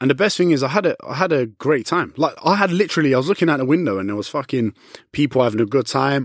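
A man talks very fast at a fairly high pitch with lively intonation and an animated tone. The sound is dry and close, with no echo. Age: 20s. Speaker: fitness influencer. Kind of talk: casual chat.

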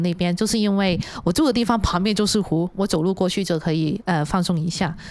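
A woman talks at a very fast pace and a medium pitch. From Hong Kong. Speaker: illustrator. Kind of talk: casual chat. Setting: studio.

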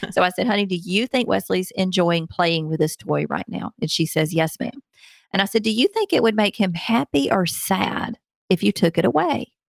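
A woman in a strong Southern US accent talks at a moderate pace and medium pitch, with ordinary pitch variation, vocal fry, and a dry, close sound with no echo. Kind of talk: interview.

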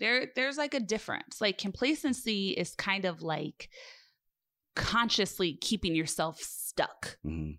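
A woman's medium-pitched, bright, sharp voice with vocal fry and lively intonation, fairly slow, in a very clean recording with a silent background. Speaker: podcast host. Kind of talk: casual interview chat. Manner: stern tone.

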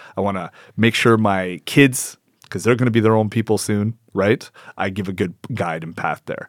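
In a Canadian accent, a man with a fairly low pitch talks at a fairly quick pace with lively intonation, the sound dry and close with no echo on a very clean recording with a silent background. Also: big swings in loudness. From Canada (Edmonton, Alberta). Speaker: entrepreneur and hunter, former MMA fighter. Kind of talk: casual chat.

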